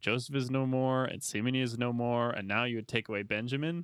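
An unremarkable speaking voice from a man at medium pitch and a moderate pace. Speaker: podcast host.

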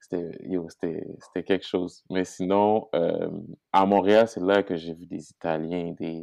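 Very deep, low pitch from a man, his intonation fairly even. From Haiti. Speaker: guest. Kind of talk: casual chat.

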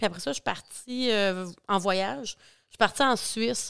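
A woman has an unremarkable speaking voice with ordinary pitch variation. She talks at a moderate pace on a very clean recording with a silent background. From Quebec, Bas-Saint-Laurent. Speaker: agricultural mental health worker. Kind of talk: casual interview.

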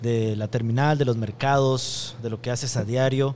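Here a man uses a normal speaking voice at a moderate pace. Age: 40s. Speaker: podcast host, gastronomy communication expert. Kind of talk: interview. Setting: restaurant.

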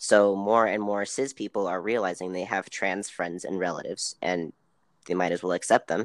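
A normal speaking voice with an American accent moves at a moderate pace with fairly even intonation. The recording is very clean, dry and close, with a silent background and no echo. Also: man, fairly low pitch for a man. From US South, Tennessee. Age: 30s. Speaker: interview guest. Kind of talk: casual interview.

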